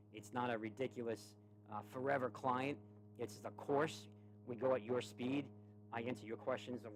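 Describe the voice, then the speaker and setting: With a New York accent, a man talks at a moderate pace and keeps his intonation fairly even. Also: medium pitch for a man. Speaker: stock trading streamer. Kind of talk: tutorial and sales pitch. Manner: lower energy than usual; halting, repeats words.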